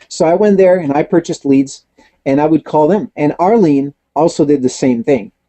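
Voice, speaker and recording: Here a man speaks at a fairly high pitch and a moderate pace. His loudness stays very even, with ordinary pitch variation. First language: not English. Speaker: network marketing trainer. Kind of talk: webinar Q&A.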